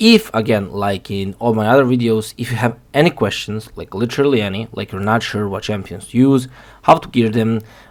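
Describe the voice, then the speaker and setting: Big swings in loudness mark this man's fairly quick speech, delivered at a medium pitch. His intonation is fairly even, with a non-native accent. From outside the US, non-English-speaking country. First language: not English. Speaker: gaming youtuber. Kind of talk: game guide tutorial. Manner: halting, many fillers; casual.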